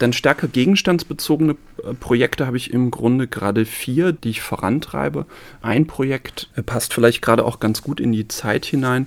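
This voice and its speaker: A man's medium-pitched voice with vocal fry, at a moderate pace and with ordinary pitch variation. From Saarland, Germany (village near Neunkirchen). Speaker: sociology professor. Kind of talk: interview. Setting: studio.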